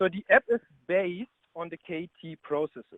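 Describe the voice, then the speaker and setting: A high-pitched man with a German accent at a moderate pace. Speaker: business consultant. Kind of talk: webinar presentation. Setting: online webinar call.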